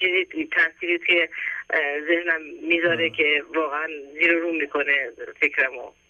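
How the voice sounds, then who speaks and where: Long, frequent pauses break up delivery that moves at a fairly slow pace. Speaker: caller. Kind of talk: phone call to radio show. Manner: halting.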